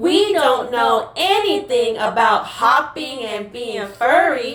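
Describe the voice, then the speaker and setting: A female-sounding put-on character voice, high in pitch for a woman, moves at a very slow pace with slight echo. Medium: audio drama. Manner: excited, chattering.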